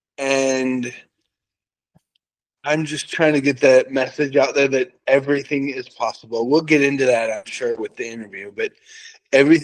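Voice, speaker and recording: Pausing long and often, a man with a fairly high pitch keeps a moderate pace and fairly even intonation. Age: 40s. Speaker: author and brain tumor survivor. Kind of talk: interview storytelling.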